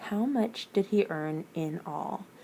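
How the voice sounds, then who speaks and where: Her voice is quiet and medium in pitch. The woman speaks with lively intonation. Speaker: teacher. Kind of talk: tutorial. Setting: district office.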